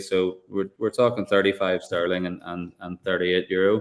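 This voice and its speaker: A man speaks with a Northern Irish accent at a fairly low pitch. The recording is very clean, with a silent background. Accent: funny accent, northern Irish. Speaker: whiskey producer. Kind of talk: live tasting chat.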